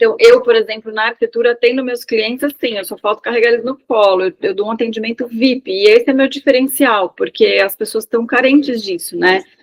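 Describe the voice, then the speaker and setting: An unremarkable speaking voice from a woman, fairly high in pitch with ordinary pitch variation, at a fairly quick pace with hardly any pauses. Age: 40s. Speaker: architect, participant in online class. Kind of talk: casual chat.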